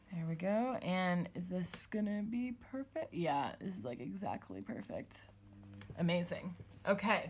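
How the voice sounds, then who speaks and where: A woman talks at a fairly slow pace with a medium pitch. Her intonation is lively and her voice is somewhat breathy. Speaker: planner vlogger. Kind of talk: casual tutorial voiceover. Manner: casual, thinking aloud.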